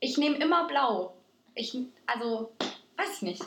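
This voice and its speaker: At a fairly slow pace, a woman speaks in an animated tone, her high pitch making very wide swings. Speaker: podcast co-host. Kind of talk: casual chat. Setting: studio-like home recording with two mics. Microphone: poor recording quality, early episode.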